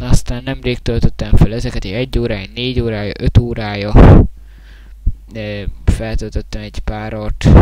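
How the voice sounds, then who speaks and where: With noticeable background noise around him, a man talks fairly slowly. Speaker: gaming YouTuber. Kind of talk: casual vlog thank-you video. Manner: halting, many filler sounds. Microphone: quiet, mic held very close.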